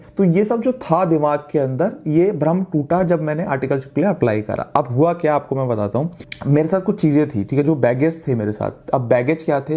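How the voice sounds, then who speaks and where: A man at a fairly high pitch and moderate pace, with ordinary pitch variation and noticeable background noise. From India, Delhi. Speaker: chartered accountant and course instructor. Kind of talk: course introduction talk. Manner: casual, conversational.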